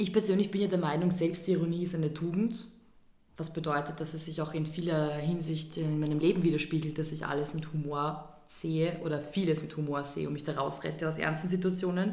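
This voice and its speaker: Over audible room echo, the voice has a dark, mellow tone, fairly even intonation and a fairly quick pace. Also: woman, very deep, low pitch for a woman. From Vienna, Austria. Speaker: podcast co-host. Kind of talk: casual chat.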